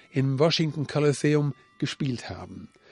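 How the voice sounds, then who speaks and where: A man's fairly high voice, with a dry, close sound and no echo. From Siegerland, Germany. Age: 60s. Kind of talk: interview.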